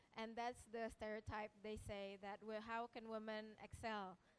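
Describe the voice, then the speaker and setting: A woman speaks with an Indonesian accent at a moderate pace. Her pitch is fairly high, and her intonation is monotone and flat. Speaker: researcher. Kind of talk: panel presentation. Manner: halting.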